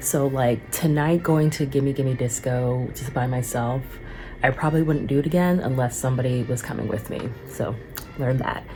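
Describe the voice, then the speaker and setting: With music in the background, a woman with a very deep, low pitch talks at a moderate pace with fairly even intonation. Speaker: singer and vlogger. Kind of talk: casual vlog monologue. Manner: casual, filler-heavy.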